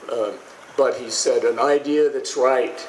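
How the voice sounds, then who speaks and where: A man speaks over noticeable background noise. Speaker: speaker at commemorative ceremony. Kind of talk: ceremonial speech. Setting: outdoors with audience. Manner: halting, frequent repetitions.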